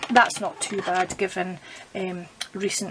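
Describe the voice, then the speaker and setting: Over noticeable background noise, a woman with a Scottish accent and medium pitch speaks at a fairly slow pace. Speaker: papercraft demonstrator. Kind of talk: crafting tutorial. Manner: casual, chatty; speaking quietly.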